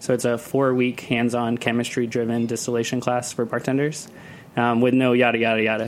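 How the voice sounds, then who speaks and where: Amid noticeable background noise, a man at medium pitch talks at a very fast pace. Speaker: cocktail event producer and festival organizer. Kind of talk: casual chat. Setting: studio. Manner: loud.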